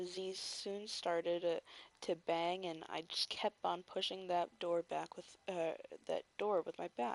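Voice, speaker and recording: A soft-spoken woman with a fairly low pitch talks at a fairly slow pace in a monotone, flat intonation, recorded with a dry, close sound and no echo. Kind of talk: read story. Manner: soft-spoken, relaxing.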